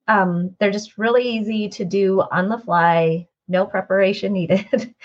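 A somewhat breathy woman's voice of medium pitch, fairly slow and with fairly even intonation, showing big swings in loudness against a quiet background. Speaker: podcast host. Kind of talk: interview conversation.

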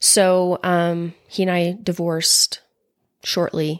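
A woman speaks in a fairly low pitch. The recording is very clean, with a silent background. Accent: American. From Utah, Orem. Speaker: podcast guest sharing her story of leaving religion. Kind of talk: personal testimony in conversation. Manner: halting, repeats words.

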